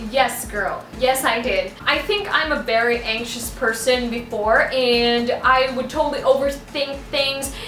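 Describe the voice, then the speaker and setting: Fairly slow, high-pitched speech comes from a woman with hardly any pauses. Audible room echo and noticeable background noise surround her. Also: ordinary pitch variation. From Philippines. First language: Bisaya (Cebuano). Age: 20s. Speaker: beauty and hair YouTuber. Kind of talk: Q&A vlog, casual talk to camera.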